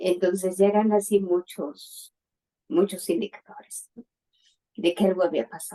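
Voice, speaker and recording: A woman with a dark, mellow tone and medium pitch speaks at a fairly slow pace, using ordinary pitch variation, long, frequent pauses and big swings in loudness, in a dry, close sound with no echo. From Mexico City. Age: 60s. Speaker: bereaved mother. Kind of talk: testimony.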